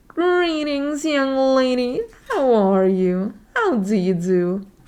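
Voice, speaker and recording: A put-on character voice delivers the words at a very slow pace. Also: woman, high pitch for a woman. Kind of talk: formal, old-fashioned politeness.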